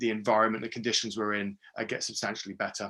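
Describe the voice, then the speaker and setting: A man speaks with a British accent at a medium pitch. His tone is bright and sharp, his intonation monotone and flat. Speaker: geographer and walking project founder. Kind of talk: webinar presentation. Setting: video call. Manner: fast; hesitant, many fillers.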